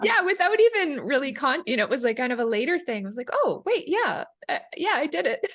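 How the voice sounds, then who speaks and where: A woman speaks at a very fast pace. Her high pitch moves through very wide swings. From Canada, Calgary, Alberta. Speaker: Ayurvedic chef and digestive health coach. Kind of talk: interview.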